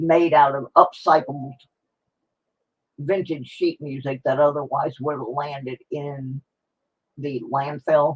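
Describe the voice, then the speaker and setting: Very slow and somewhat breathy, a woman speaks with an American accent. Her pitch is very deep and low, with fairly even intonation. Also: dry, close sound with no echo. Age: 60s. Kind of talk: livestream giveaway chat. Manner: casual, rambling.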